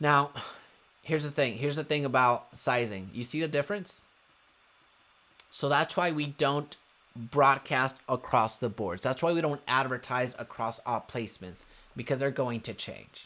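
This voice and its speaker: A man's medium-pitched voice with a bright, sharp tone, an animated delivery, ordinary pitch variation and long, frequent pauses. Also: moderate pace. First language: Spanish. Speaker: real estate marketing coach. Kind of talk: live webinar tutorial.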